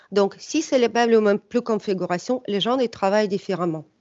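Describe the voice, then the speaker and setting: A woman speaks with a slight non-native accent. Her pitch variation is ordinary. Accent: slight foreign. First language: not French (speaking French). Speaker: startup executive. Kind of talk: webinar presentation. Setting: online webinar. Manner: hesitant, many filler sounds.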